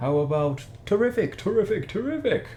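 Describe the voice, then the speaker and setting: This is a put-on character voice with very wide pitch swings. Clear background noise runs underneath. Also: man, high pitch for a man, fairly quick pace. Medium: read story. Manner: repeats words thrice.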